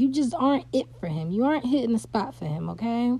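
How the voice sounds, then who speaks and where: This woman has a dark, mellow tone and fairly high pitch. Her intonation is lively and her voice somewhat breathy. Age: 40s. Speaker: podcast host. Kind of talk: casual commentary monologue.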